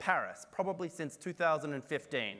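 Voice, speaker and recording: A man with an Australian accent, a fairly high pitch, vocal fry, a bright, sharp tone and lively intonation at a moderate pace, in a very clean recording with a silent background. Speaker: climate and health researcher. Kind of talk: conference talk.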